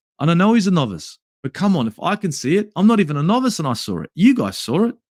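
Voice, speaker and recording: In a very clean recording with a silent background and a dry, close sound with no echo, a man with an Australian accent talks at a very fast pace in a high pitch that swings very widely. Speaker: football YouTuber. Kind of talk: match review livestream.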